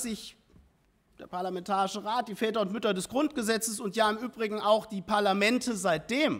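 A man with a high voice talks at a moderate pace, with ordinary pitch variation. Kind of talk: parliamentary speech. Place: hall. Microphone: podium.

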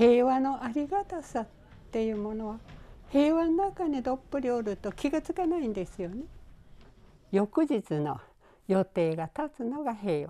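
On a very clean recording with a silent background, a woman with a high pitch and a dark, mellow tone speaks at a moderate pace with very wide pitch swings. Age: 90s. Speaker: atomic bomb survivor. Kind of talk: interview testimony.

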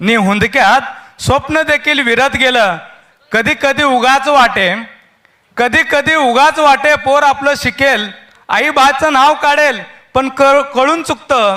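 The raised, projected voice has a bright, sharp tone, very even loudness and ordinary pitch variation. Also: man. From Solapur, Maharashtra. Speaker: poet. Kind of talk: poetry reading. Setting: live event stage. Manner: repeating each line.

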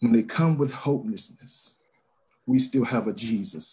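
Somewhat breathy and dark, mellow in tone, a man talks at a moderate pace with lively intonation. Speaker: church member. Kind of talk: spontaneous exhortation; sermon. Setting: video call. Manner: fervent, preachy. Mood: earnest, preaching exhortation. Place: home room. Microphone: video call.

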